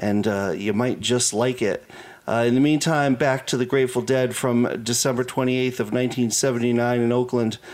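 At a fairly slow pace, a man speaks at medium pitch with fairly even intonation in an ordinary speaking voice. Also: very even loudness. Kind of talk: radio DJ patter: station ID, show number, track list. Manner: relaxed, conversational, unhurried, with filler 'uh' and casual asides.

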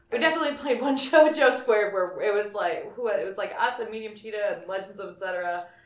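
Lively intonation at a fairly quick pace, hardly any pauses, big swings in loudness, and noticeable background noise. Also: woman, fairly high pitch for a woman. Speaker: band singer. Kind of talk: casual band interview chat.

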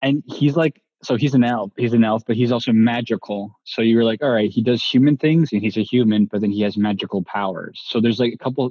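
The speech races at a very fast pace with hardly any pauses. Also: man, medium pitch for a man, ordinary pitch variation. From Asia and Latin America, Italian-Canadian family. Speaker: podcast guest. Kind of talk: casual chat.

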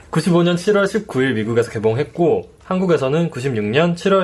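Male voice with vocal fry and very wide pitch swings, moderate pace. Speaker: podcast co-host. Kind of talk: casual chat; scripted narration. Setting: studio. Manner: giggly.

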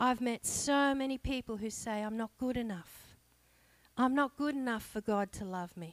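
An Australian-accented woman at a fairly high pitch, with ordinary pitch variation and a dry, close sound with no echo, in a very clean recording with a silent background. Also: moderate pace. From Australia, Blue Mountains (New South Wales). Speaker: lay preacher. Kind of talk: sermon.

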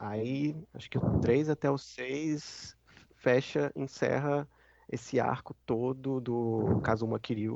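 Speaking very slowly, a man uses a medium pitch and fairly even intonation. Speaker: gaming podcast co-host. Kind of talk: casual chat.

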